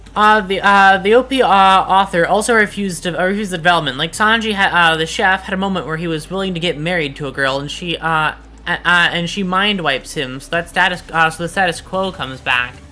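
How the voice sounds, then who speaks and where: The speaker rushes along at a very fast pace with hardly any pauses. Noticeable background noise runs underneath. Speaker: VTuber streamer. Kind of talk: casual live-stream chat. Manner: halting, many fillers and restarts.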